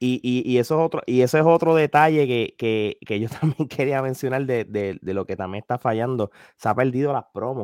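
A man speaks at a medium pitch and a moderate pace with ordinary pitch variation and hardly any pauses, recorded very cleanly against a silent background with a dry, close sound and no echo. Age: 40s. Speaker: wrestling media commentator. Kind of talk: casual chat. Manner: halting, repeats words.

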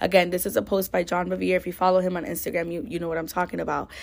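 Her voice sits at a medium pitch with ordinary variation and some vocal fry. The recording is very clean and the background silent. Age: 30s. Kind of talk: casual faith chat.

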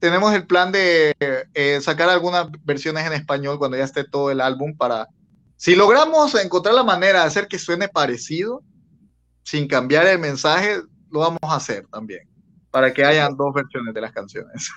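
A man in a normal speaking voice, fairly high-pitched for a man, talks at a moderate pace with lively intonation. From Bolivia. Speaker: rock band vocalist. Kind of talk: interview.

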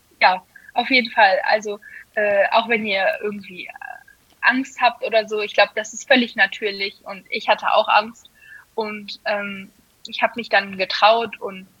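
A woman talks at a fairly slow pace with a fairly high pitch. She leaves long, frequent pauses. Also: big swings in loudness. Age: 20s. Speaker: amateur guard dancer. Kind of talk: casual interview. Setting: podcast.

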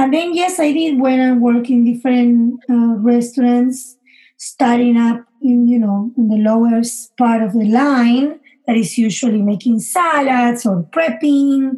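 Her voice is high-pitched with a dark, mellow tone, and this woman keeps a fairly slow pace, very even loudness and ordinary pitch variation. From Argentina, Buenos Aires. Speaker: chef. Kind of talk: casual interview. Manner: animated.

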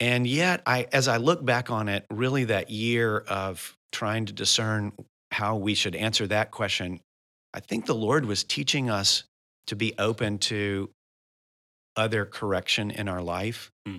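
This man has a fairly low pitch and a bright, sharp tone at a fairly slow pace. The recording is very clean with a silent background. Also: ordinary pitch variation. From US South, Memphis, Tennessee. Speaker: missionary church planter. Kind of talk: interview conversation.

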